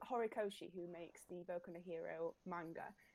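A woman with a Yorkshire accent speaks at a moderate pace. Her tone is dark and mellow, with ordinary pitch variation. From South Yorkshire, Sheffield. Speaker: cosplayer. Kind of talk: casual interview.

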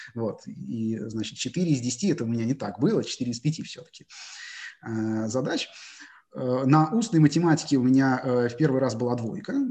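At a moderate pace and with long, frequent pauses, a man talks in a medium-pitched voice that has a dark, mellow tone and ordinary pitch variation. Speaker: math teacher and research mathematician. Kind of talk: interview. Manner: hesitant, frequent filler sounds.

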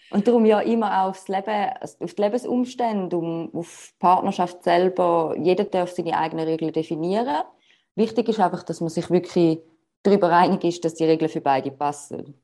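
A woman speaks at a moderate pace in a fairly low pitch, with a dark, mellow tone, ordinary pitch variation and a quiet background. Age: 30s. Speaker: relationship coach. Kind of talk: interview.

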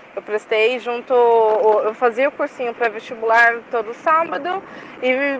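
A woman's high-pitched voice at a fairly slow pace, ordinary pitch variation, and noticeable background noise. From São Paulo east side, Brazil. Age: 20s. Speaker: university student. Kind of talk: recorded testimony.

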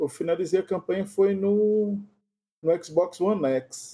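This man's voice has a dark, mellow tone. He talks at a fairly slow pace. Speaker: podcast host. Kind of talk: casual chat.

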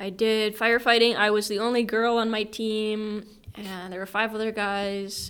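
With an Upper Midwest accent, a woman speaks at a fairly high pitch. Her intonation is monotone and flat. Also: moderate pace. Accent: Upper Midwest American. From northern Minnesota (Ely). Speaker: English teacher. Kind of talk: casual interview.

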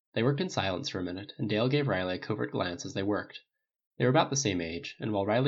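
Reading aloud in a natural voice with lively intonation against a quiet background

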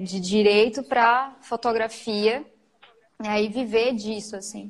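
Speaking at a very slow pace, a woman talks with a fairly high pitch. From Macapá, northern Brazil. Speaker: photographer and online shop owner. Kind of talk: casual interview. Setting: live stream.

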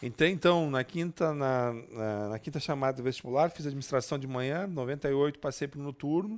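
A man speaks with a fairly high pitch. He has an ordinary speaking voice. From southern Brazil, Passo Fundo. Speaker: public administration specialist. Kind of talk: casual interview. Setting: studio.

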